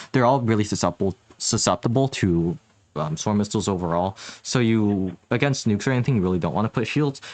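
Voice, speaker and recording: At a very fast pace, a man with a fairly low pitch and ordinary pitch variation talks in a dry, close sound with no echo. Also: quiet background. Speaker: gaming tutorial youtuber. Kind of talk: tutorial. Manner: hesitant, many fillers.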